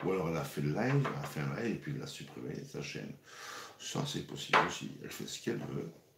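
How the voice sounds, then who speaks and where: Very deep, low male voice with very wide pitch swings and a very fast pace, audible room echo and noticeable background noise. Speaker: cooking show host. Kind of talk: live cooking stream. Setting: livestream. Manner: casual, hesitant with repetitions.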